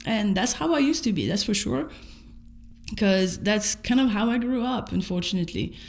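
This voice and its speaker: A somewhat breathy woman's voice with a French accent, medium pitch, moderate pace and lively intonation, with audible room echo. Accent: noticeable French. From France. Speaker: vlogger. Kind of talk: personal video diary. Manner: casual, halting with repetitions.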